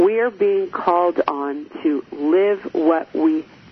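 Very wide pitch swings mark this very slow delivery, heard over noticeable background noise. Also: woman. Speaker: radio host and relationship coach. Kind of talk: live radio talk show monologue. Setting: studio. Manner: gets loud when excited.

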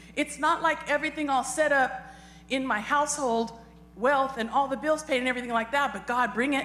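Over noticeable background noise, a woman speaks fairly quickly in a high pitch with fairly even intonation. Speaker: congregation member sharing testimony. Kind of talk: testimony and prayer.

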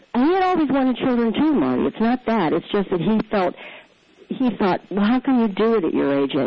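Over noticeable background noise, a woman with a fairly high voice talks at a fairly quick pace, her pitch swinging very widely while her loudness stays very even. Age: 60s. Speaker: adoptive mother and columnist. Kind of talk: interview.

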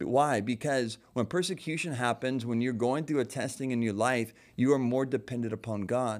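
Here a man uses an ordinary speaking voice at a medium pitch with ordinary pitch variation. He keeps a moderate pace with hardly any pauses, on a very clean recording with a silent background. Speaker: pastor. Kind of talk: casual chat. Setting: studio.

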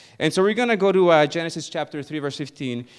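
This man has a high voice with ordinary pitch variation and a fairly quick pace. The background is quiet. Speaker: pastor. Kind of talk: sermon. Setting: church.

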